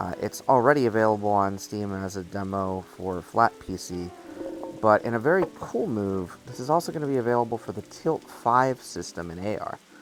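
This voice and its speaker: A man's fairly low voice at a moderate pace, with lively intonation, big swings in loudness and music in the background. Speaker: VR gaming YouTuber. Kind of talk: gameplay commentary. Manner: casual, with frequent fillers.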